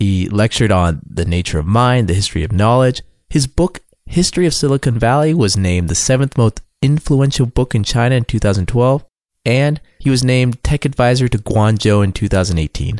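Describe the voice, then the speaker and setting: At a fairly quick pace, a man with an unremarkable speaking voice talks at medium pitch with lively intonation. His loudness stays very even, and the sound is dry and close with no echo. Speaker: podcast host. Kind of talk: interview.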